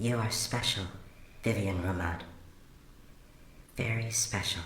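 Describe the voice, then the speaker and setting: A robotic put-on character voice speaks at a fairly slow pace. Light background noise and a slight echo are present. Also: man, medium pitch for a man. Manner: sweet.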